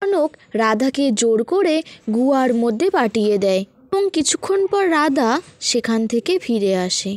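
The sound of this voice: A woman talks at a fairly slow pace with few pauses, her fairly high voice slightly mellow. Her pitch swings widely.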